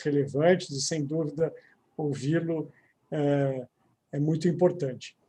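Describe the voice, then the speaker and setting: In a São Paulo accent, a man talks at a fairly slow pace with a fairly high pitch, a dark, mellow tone, some breathiness, and monotone, flat intonation. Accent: São Paulo (paulistano). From São Paulo city, Brazil. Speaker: lawyer, commission president and event host. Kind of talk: panel event moderation. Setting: live online event.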